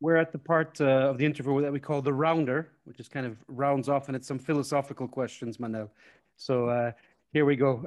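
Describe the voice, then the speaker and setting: In an ordinary speaking voice, a man talks at a fairly quick pace and fairly high pitch, with fairly even intonation and big swings in loudness. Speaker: podcast host and football analysis consultant. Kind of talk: interview.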